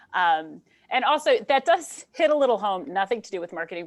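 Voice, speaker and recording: Talking at a very fast pace, a woman sounds animated, her intonation lively. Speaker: marketing and entrepreneurship instructor. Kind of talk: webinar Q&A talk.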